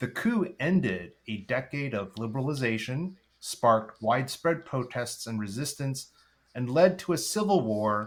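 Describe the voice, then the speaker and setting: A man talks in a normal speaking voice, medium in pitch, at a moderate pace and with lively intonation. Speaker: podcast host. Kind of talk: podcast interview host.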